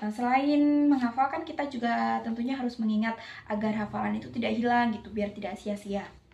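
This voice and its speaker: A woman with a fairly high, somewhat breathy voice, ordinary pitch variation and a fairly quick pace. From Java, Indonesia. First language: Javanese (speaking Indonesian). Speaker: university student. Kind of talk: class presentation. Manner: hesitant, with fillers.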